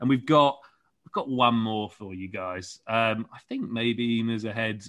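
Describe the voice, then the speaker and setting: In a London accent, a man talks at a medium pitch with fairly even intonation. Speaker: podcast host. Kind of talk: casual chat. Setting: video call.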